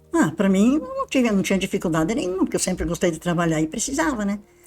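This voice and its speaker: A woman at a very fast pace with very wide pitch swings, music in the background. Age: 80s+. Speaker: retired university maintenance worker. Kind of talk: interview, personal recollection. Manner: informal, chatty.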